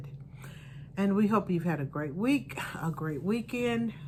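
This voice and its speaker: The woman's voice is somewhat breathy. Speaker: podcast co-host, mother. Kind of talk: podcast conversation.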